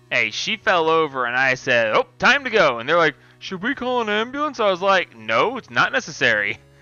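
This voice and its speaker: Very wide pitch swings and hardly any pauses, with music in the background. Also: man, high pitch for a man. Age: 30s. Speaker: gaming streamer. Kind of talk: casual live stream commentary. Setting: live stream. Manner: casual, with fillers.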